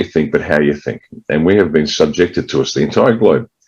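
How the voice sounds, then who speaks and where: The voice carries an Australian accent and some vocal fry. It moves at a fairly quick pace with ordinary pitch variation. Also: man. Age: 60s. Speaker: political party leader, ex-military. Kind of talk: interview.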